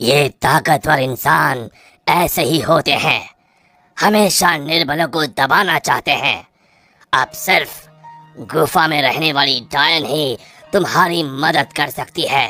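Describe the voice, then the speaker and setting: Faint music plays behind a raspy, cartoonish character voice pitched in the low-to-middle range. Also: fairly slow pace. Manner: solemn, measured.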